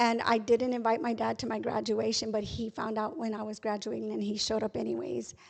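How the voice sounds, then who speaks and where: A woman with an American accent at a fairly quick pace, with hardly any pauses. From Texas, San Antonio area. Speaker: guest sharing faith testimony. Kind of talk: testimony. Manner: fast.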